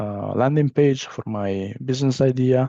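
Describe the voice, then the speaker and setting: Against a quiet background, a man with an Italian accent talks at a moderate pace with ordinary pitch variation, in a dry, close sound with no echo. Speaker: business trainer. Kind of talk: training session. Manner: halting, many fillers.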